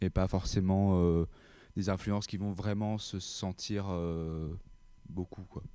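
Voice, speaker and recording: Over a silent background in a very clean recording, a man speaks very slowly in a very deep, low voice with a dark, mellow tone and flat, monotone intonation. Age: young. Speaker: rock band bassist. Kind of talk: interview. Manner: halting.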